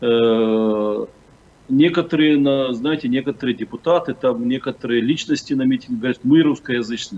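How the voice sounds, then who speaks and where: With ordinary pitch variation, the man's delivery holds a moderate pace. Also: medium pitch for a man. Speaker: community leader, political commentator. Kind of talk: interview. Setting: video call. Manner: halting, many filler sounds.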